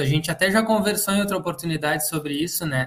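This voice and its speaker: A man's high-pitched voice with fairly even intonation over noticeable background noise. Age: 40s. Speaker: agriculture podcast co-host. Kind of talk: podcast interview.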